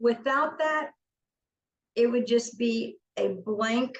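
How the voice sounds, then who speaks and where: With an Arkansas accent, a woman speaks at a fairly high pitch with ordinary pitch variation. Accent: Southern US (Arkansas). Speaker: company CEO presenting on deaf accessibility. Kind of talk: webinar presentation. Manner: stutter; casual, conversational.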